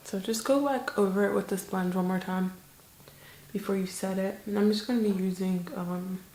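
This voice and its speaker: Whispering at a moderate pace, a soft-spoken woman sounds somewhat breathy. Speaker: beauty vlogger. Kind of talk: makeup tutorial chat. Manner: monotone.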